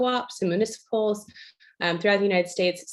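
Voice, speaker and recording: A woman speaks with fairly even intonation. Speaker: tech company executive. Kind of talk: presentation. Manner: fast.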